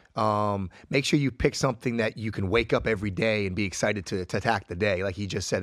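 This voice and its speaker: In a very clean recording with a silent background, a man with a fairly low voice talks at a very fast pace in an enthusiastic tone, with ordinary pitch variation. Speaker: podcast co-host, retired football player and wrestler. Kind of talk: casual interview chat.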